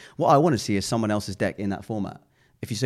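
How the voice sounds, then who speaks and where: A man with a fairly low pitch at a very fast pace, on a very clean recording with a silent background. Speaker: podcast co-host, brand entrepreneur. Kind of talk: casual chat. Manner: animated.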